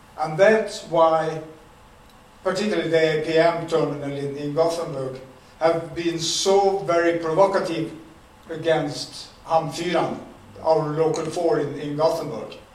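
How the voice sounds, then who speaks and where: A man with a Swedish accent, fairly high in pitch, at a fairly slow pace and with fairly even intonation. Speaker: retired dock worker. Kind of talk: talk. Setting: stage with audience.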